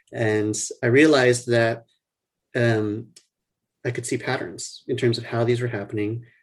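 Somewhat breathy, a man with an American accent speaks at a moderate pace and a medium pitch. His intonation is monotone and flat, broken by long, frequent pauses. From US South, New Orleans. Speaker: neurologist. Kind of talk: interview.

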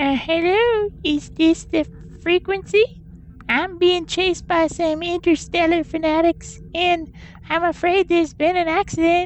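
Using a squeaky, put-on character voice at an extremely high pitch, a woman speaks at a fairly slow pace with fairly even intonation and very even loudness over clear background noise. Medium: audio drama. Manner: sugary, folksy.

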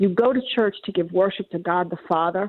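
At a fairly quick pace, a woman uses a normal speaking voice at a medium pitch with fairly even intonation. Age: 60s. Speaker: caller. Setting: phone call.

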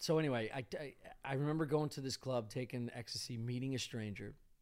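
A man with a plain, everyday voice talks at a fairly quick pace, medium in pitch with ordinary pitch variation. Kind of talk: casual chat. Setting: studio.

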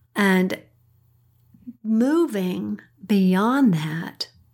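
Recorded very cleanly against a silent background, a woman speaks at medium pitch in a somewhat breathy voice with a dark, mellow tone. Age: 70s. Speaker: parent of the host giving a weekly pep talk. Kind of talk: inspirational pep talk.

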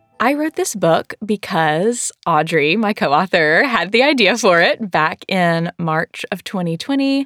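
A Southern US accent at a fairly slow pace, with very wide pitch swings and hardly any pauses, in a dry, close sound with no echo. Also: woman, medium pitch for a woman. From US South. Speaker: church worker and co-author of prayer book. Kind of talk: casual conversation.

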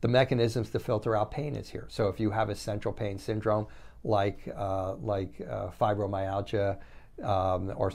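Vocal fry runs through this moderate-paced speech with ordinary pitch variation, on a very clean recording with a silent background. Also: man. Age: 60s. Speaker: functional medicine doctor. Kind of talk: monologue lecture. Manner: repetitive, halting restarts.

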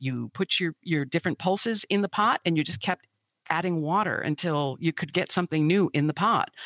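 A woman with an Upper Midwest accent talks at a fairly low pitch with ordinary pitch variation. Her pace is fairly quick and her loudness very even. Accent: Upper Midwest American. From Milwaukee, Wisconsin. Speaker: author and food scientist. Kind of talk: interview conversation.

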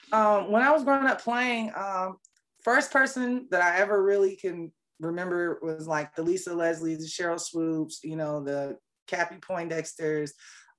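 Over a quiet background, a woman with an American accent uses a plain, everyday voice, speaking at a moderate pace in a fairly low pitch with lively intonation. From Fayetteville, North Carolina (born South Korea). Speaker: camera operator, former athlete. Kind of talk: interview.

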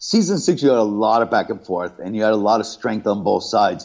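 An ordinary speaking voice with an American accent moves at a fairly quick pace. The background is quiet. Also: man. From New York and Southern California. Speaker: reality TV contestant. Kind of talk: casual interview.

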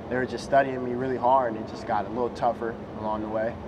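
Amid noticeable background noise and audible room echo, a man talks at medium pitch in a monotone, flat intonation. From Las Vegas, US. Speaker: basketball draft prospect. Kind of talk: interview.

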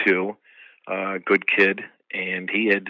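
In a dry, close sound with no echo, a man with an American accent speaks very slowly in a fairly low pitch with a bright, sharp tone. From upstate New York (Troy). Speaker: actor and karate master. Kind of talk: interview. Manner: halting.

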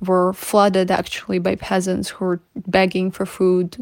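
A woman with a Ukrainian accent talks at a medium pitch and a fairly slow pace. Her intonation is monotone and flat. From Ukraine, Kyiv region. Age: 20s. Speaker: activist. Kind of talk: testimony.

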